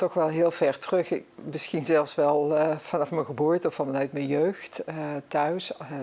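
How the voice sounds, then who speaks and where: A woman with a Brabant accent speaks at a fairly slow pace in a very deep, low pitch, her dark, mellow tone held in a monotone, flat intonation. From Netherlands, Brabant (Zevenbergen). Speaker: guest on local talk show. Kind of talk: talk show interview.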